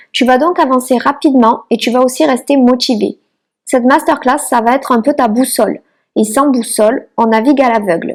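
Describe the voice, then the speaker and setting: With a southern French accent, a woman talks at a fairly quick pace in a high pitch with ordinary pitch variation. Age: 30s. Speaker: micro-nursery founder and online trainer. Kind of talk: online masterclass presentation.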